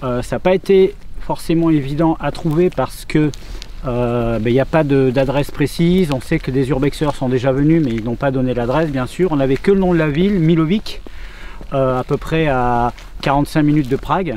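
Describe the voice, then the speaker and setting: Over noticeable background noise, a man with a Bordeaux accent talks at a moderate pace, his pitch fairly high with ordinary variation. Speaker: urban explorer vlogger. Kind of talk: casual vlog commentary. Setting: outdoors. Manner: hesitant, many fillers.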